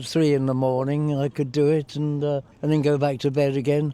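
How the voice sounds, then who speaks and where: A man speaks with an English accent at a fairly quick pace, his pitch fairly high. His intonation is flat and monotone, and his tone is dark and mellow. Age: 80s+. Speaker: war veteran. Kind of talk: interview. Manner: hesitant.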